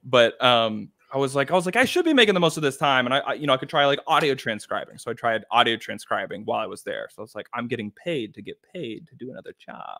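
At a very fast pace with hardly any pauses, the voice swings widely in loudness over a quiet background. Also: man. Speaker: author and YouTube creator. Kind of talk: casual interview. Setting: video call from home. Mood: relaxed, amused storytelling. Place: home room.

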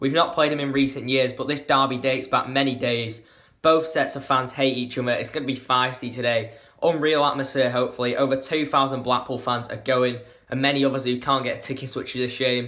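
Flat, monotone intonation sits over a quiet background. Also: man, fairly quick pace. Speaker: football fan vlogger. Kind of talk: casual vlog chat. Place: home room. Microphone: phone near.

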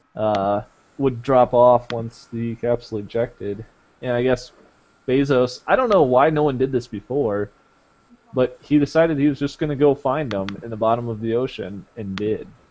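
Here is a man with a plain, everyday voice, pitched in the medium range. His pace is moderate, and his pitch varies in an ordinary way. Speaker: podcast host. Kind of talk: casual chat.

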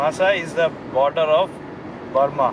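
Noticeable background noise behind a man's dry voice, free of any echo. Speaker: trip narrator. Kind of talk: casual travel vlog narration. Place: car. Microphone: phone near.

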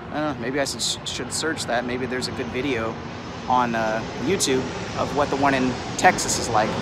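The man's pitch varies in an ordinary way, and the sound is dry with no echo under loud background noise. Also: moderate pace. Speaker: street vlogger. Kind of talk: casual vlog chat. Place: street. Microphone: phone near.

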